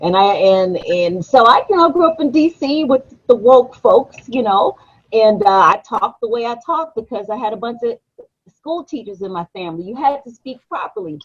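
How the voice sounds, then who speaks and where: A woman's fairly high voice with a Memphis accent, very wide pitch swings and big swings in loudness. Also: moderate pace. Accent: Southern US (Memphis). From Washington, D.C., then Memphis, Tennessee. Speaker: radio actress and voice performer. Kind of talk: casual chat. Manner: animated.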